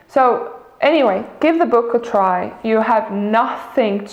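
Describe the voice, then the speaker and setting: With a non-native accent and ordinary pitch variation, a woman speaks in a space with audible room echo. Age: 20s. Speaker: vlogger. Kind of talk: casual vlog monologue. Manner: halting, many fillers.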